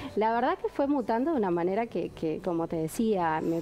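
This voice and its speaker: Someone talks at a fairly quick pace with a Uruguayan accent and ordinary pitch variation, over light background noise. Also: woman. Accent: Rioplatense Spanish (Uruguayan). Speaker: event organizer and entrepreneur; guest. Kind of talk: TV talk show interview. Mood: warm, enthusiastic. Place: studio. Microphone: lapel.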